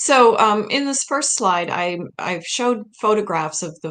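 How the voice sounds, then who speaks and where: A woman with an American accent speaks at a fairly slow pace, her medium-pitched voice carrying lively intonation. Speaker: historian and author. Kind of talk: interview presentation.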